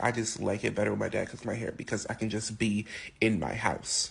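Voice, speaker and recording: Against a quiet background, a man speaks at medium pitch. He sounds somewhat breathy. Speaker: interviewee sharing LGBTQ experiences. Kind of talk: interview testimony.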